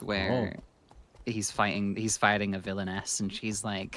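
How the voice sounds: Here a man speaks fairly slowly with flat, monotone intonation. His fairly low voice has a bright, sharp tone.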